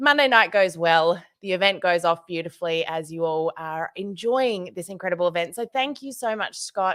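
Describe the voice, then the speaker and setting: Lively intonation marks this Australian-accented voice, which moves at a moderate pace with hardly any pauses on a very clean recording with a silent background. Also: woman, medium pitch for a woman. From Australia, Tasmania. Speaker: social media trainer for direct selling. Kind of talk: conference presentation. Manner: animated.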